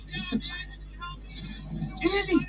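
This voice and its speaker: Someone performs a put-on character voice over clear background noise. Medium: short film. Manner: anxious.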